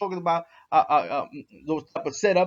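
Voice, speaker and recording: A man with a New York accent. He talks at a fairly quick pace. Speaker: dog breeder vlogger. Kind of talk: response video monologue. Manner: halting, repetitive.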